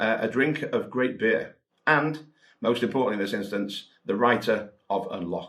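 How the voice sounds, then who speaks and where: Speaking with a Welsh accent, a man talks at a moderate pace. His pitch is medium, with ordinary variation. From Wales. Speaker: mentalist and magic author. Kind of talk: promotional talk. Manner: conversational, with filler words.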